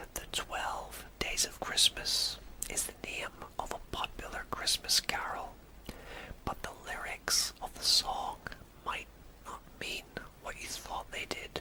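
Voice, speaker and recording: Whispering in a gentle tone, a man speaks at a very slow pace with long, frequent pauses over noticeable background noise. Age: 30s. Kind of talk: ASMR fact narration. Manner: whispered, gentle.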